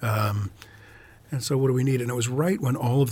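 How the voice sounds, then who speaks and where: At a fairly quick pace, a man with an American accent speaks in an ordinary speaking voice with fairly even intonation. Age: 60s. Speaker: author and professor. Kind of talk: casual interview.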